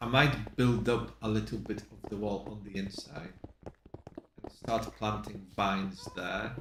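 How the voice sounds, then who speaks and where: Over noticeable background noise, a man speaks at a very slow pace with big swings in loudness. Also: fairly low pitch for a man, ordinary pitch variation. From Poland. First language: Polish. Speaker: streamer. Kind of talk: casual gameplay commentary.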